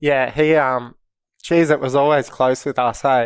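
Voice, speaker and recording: A man with an Australian accent speaks at a fairly high pitch. The recording is very clean, with a silent background. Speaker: professional bodyboarder. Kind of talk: casual chat. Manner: quiet, laid-back.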